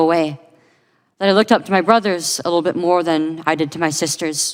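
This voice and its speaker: Speaking at a fairly quick pace, a woman uses a fairly low pitch and fairly even intonation on a very clean recording with a silent background. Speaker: detransitioner giving testimony. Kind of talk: testimony.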